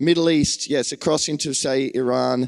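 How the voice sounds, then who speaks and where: A man with an Australian accent speaks at a fairly high pitch. The sound is dry and close with no echo, on a very clean recording with a silent background. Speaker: preacher. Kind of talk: sermon.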